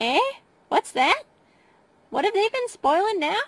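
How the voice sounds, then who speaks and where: A squeaky put-on character voice at an extremely high pitch, with very wide pitch swings, a moderate pace and a dry, close sound with no echo. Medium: read story. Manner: scolding, brisk.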